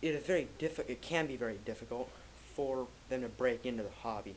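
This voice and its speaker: Vocal fry in a man's medium-pitched voice at a moderate pace. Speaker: coin collector. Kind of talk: casual explanatory talk to camera. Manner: slight stutter; loud.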